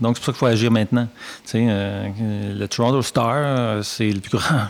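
This man has an ordinary speaking voice at medium pitch. His intonation stays fairly even. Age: 50s. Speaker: journalism professor. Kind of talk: interview. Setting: studio.

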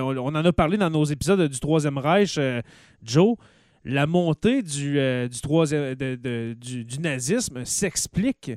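A man with a fairly high voice speaks very slowly with lively intonation, recorded dry and close with no echo. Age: 30s. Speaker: podcast host. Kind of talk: casual chat.

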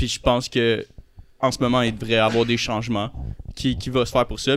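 A normal speaking voice with fairly even intonation. The recording is very clean, with a silent background. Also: man. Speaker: podcast guest. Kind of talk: casual chat.

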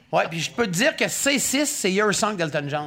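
This man's voice is raised and projected, with a bright, sharp tone. He talks at a moderate pace. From Gaspésie. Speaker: podcast host. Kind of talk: casual chat.

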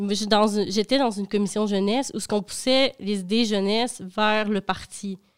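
In a very clean recording with a silent background, a woman with a normal speaking voice talks at a fairly high pitch with fairly even intonation. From Quebec, Dolbeau-Mistassini. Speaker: intern. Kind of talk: casual chat.

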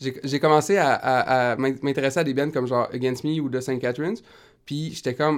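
A man speaks in an ordinary speaking voice at medium pitch, with fairly even intonation. His pace is moderate, and the recording is very clean with a silent background. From Quebec, Rimouski. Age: 20s. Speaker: singer-songwriter. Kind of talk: casual interview.

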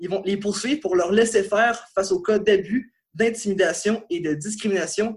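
At a fairly slow pace, a man speaks in a high pitch. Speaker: sports journalist. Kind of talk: podcast segment.

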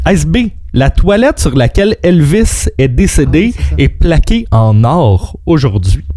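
A very slow pace over noticeable background noise. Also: man. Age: 30s. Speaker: radio co-host. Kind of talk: quiz hosting; casual radio chat.

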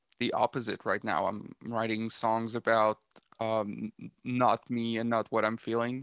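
A man with a Quebec accent speaks at a medium pitch with fairly even intonation, in a very clean recording that is dry and close, with no echo and a silent background. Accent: French Canadian accent in English. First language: French. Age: 30s. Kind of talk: casual interview chat. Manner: halting, many fillers and repeats.

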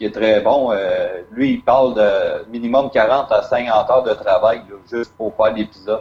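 A man in a Quebec accent speaks at a very slow pace against noticeable background noise. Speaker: podcast host. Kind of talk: interview. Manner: halting.

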